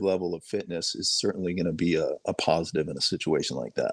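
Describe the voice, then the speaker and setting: A man with a slight Boston accent. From Boston suburbs, Massachusetts. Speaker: sheriff's helicopter pilot. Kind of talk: podcast interview.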